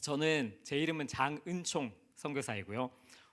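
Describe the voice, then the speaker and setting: In a Busan accent, a man speaks at medium pitch with a bright, sharp tone on a very clean recording with a silent background. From South Korea, Busan. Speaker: missionary. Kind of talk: sermon.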